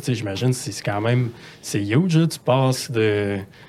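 A plain, everyday voice from a man, moderate in pace, medium in pitch, with lively intonation. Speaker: podcast co-host. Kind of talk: casual interview.

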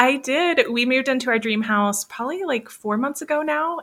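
An ordinary speaking voice from a woman, fairly quick in pace with lively intonation, in a very clean recording with a silent background. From US South, Florida Panhandle. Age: 30s. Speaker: business coach, former wedding photographer. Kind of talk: casual interview chat.

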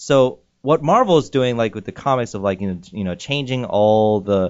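A man speaks in a plain, everyday voice, moving fairly quickly with lively intonation. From US, moved around (California, Michigan, Korea, Virginia). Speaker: actor. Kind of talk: casual chat. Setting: studio.

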